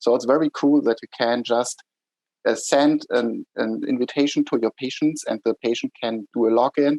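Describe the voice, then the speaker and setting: A man with a German accent speaks in a dry, close sound with no echo. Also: moderate pace. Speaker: startup executive. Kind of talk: interview.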